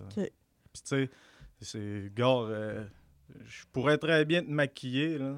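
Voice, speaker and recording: Someone talks at a fairly slow pace, with a dry, close sound and no echo. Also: man. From Quebec, Saguenay-Lac-Saint-Jean (Albanel). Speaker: barber and small business owner. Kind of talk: casual interview.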